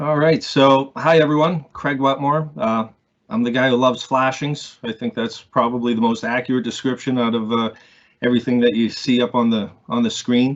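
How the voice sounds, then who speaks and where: Someone with a Maine accent speaks at a moderate pace with ordinary pitch variation. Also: man. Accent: Maine accent, self-noted. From US Northeast, Maine. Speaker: building industry association board member. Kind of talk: casual interview.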